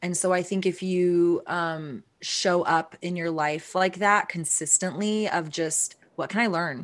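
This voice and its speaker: In a normal speaking voice with an American accent, a woman talks at a fairly slow pace with hardly any pauses over a quiet background. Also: fairly low pitch for a woman, fairly even intonation. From Texas. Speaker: CEO of a CBD brand. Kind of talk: interview.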